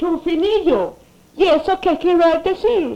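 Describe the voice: A woman's put-on character voice, extremely high-pitched yet dark and mellow in tone, with vocal fry, lively intonation and a slow pace.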